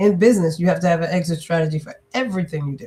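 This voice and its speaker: Somewhat breathy in quality, this voice shows ordinary movement in pitch. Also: woman. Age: 60s. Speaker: business and leadership strategist, author. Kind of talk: interview.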